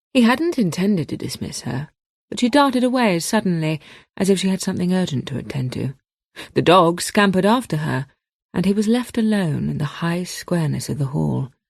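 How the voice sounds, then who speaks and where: A woman's somewhat breathy voice moves at a fairly quick pace with very wide pitch swings. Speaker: audiobook narrator. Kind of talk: radio book reading.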